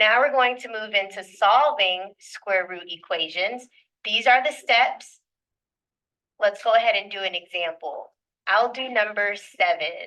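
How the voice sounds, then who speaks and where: With a fairly high pitch, a woman talks at a fairly slow pace in a bright, sharp tone and lively intonation. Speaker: math teacher. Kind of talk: classroom lecture. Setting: classroom with students.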